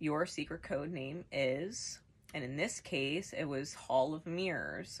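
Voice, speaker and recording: Her voice is very deep and low for a woman, with ordinary pitch variation. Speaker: tarot reader. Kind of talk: tarot reading monologue. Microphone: camera far.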